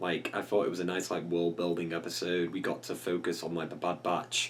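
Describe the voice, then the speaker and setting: A very deep, low male voice at a moderate pace, over noticeable background noise. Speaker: YouTube reaction host. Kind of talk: casual talk to camera.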